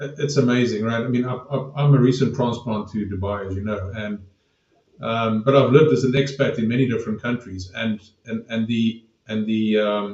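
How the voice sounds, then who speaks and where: A man at medium pitch sounds somewhat breathy, and his intonation stays fairly even. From South Africa. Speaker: podcast host. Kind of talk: podcast interview.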